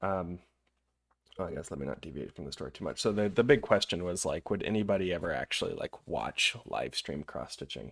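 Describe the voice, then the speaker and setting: A man with a very deep, low voice and vocal fry speaks at a fairly quick pace in a relaxed tone. The recording is very clean, with a silent background. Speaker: cross-stitch live streamer. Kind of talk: casual live stream craft commentary. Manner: relaxed, chatty.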